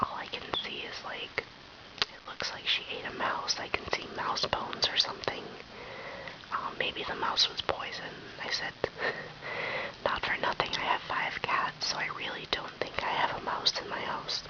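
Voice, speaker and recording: Whispering at a moderate pace, a woman leaves long, frequent pauses amid noticeable background noise. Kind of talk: casual talk to camera. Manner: whispered.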